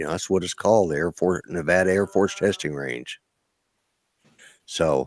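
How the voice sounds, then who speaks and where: On a very clean recording with a silent background, a man with a very deep, low pitch and vocal fry talks at a moderate pace with ordinary pitch variation and long, frequent pauses. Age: 60s. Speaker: military veteran, drone livestream host. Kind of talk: casual livestream chat.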